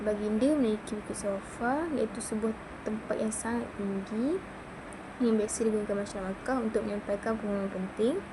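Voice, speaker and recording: Speaking at a fairly quick pace, a woman with a fairly high pitch is heard over noticeable background noise and audible room echo. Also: ordinary pitch variation. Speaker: student. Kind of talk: class presentation. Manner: halting.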